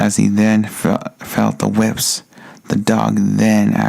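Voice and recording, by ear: A passage is being read out. The voice sounds natural.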